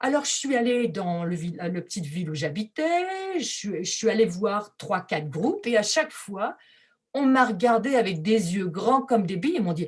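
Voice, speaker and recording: Somewhat breathy and medium in pitch, a woman speaks at a fairly slow pace with very wide pitch swings and big swings in loudness. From France. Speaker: textile artist. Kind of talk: presentation.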